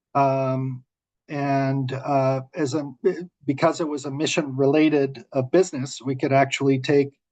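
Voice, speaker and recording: A man talks at a fairly slow pace with a fairly high pitch. His intonation is monotone and flat. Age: 60s. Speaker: renewable energy developer. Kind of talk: webinar panel discussion. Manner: halting.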